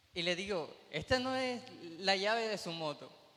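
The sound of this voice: The tone is bright and sharp, with lively intonation. The pace is moderate, and room echo is audible. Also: man, high pitch for a man.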